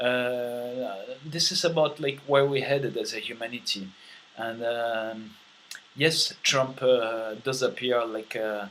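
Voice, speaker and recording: Speaking very slowly with a French accent, a man keeps a medium pitch and fairly even intonation against noticeable background noise. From France. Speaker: vlogger. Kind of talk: monologue vlog. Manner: many fillers and hesitations.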